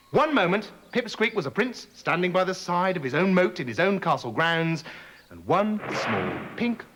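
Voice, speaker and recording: This man has a high pitch and speaks at a moderate pace. There is noticeable background noise. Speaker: storyteller. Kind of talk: children's story reading.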